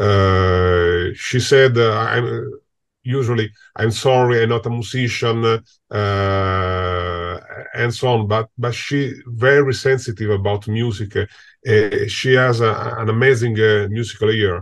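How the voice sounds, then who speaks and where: Against a quiet background, a man with an Italian accent speaks at a very slow pace with fairly even intonation. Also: medium pitch for a man. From Italy. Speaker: film composer. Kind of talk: interview. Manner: halting.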